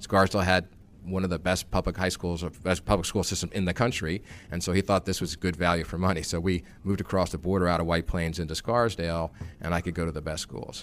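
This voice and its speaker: A man with an American accent speaks very fast. His pitch is very deep and low, with fairly even intonation. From New York area. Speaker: investment firm CEO. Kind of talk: interview.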